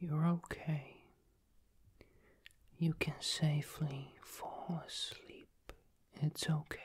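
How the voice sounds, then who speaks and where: A soft-spoken man whispers in a soothing tone. He speaks at a very slow pace. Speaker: ASMR creator. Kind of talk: soothing sleep guidance. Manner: soft soothing near-whisper. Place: home room.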